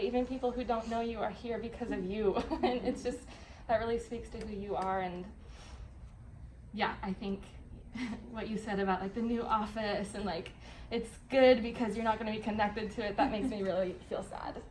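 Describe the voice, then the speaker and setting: Amid audible room echo, a woman with a somewhat breathy voice and fairly high pitch talks at a fairly quick pace with long, frequent pauses and fairly even intonation. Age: young. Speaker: refugee resettlement coworker. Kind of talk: farewell speech. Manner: halting.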